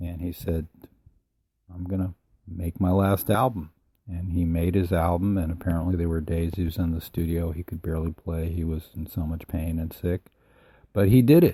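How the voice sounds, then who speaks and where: Heard in a very clean recording with a silent background, a man speaks at a moderate pace with a very deep, low pitch, a dark, mellow tone, somewhat breathy delivery and fairly even intonation. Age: 60s. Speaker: musician and podcaster. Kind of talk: casual monologue. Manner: halting, with many fillers.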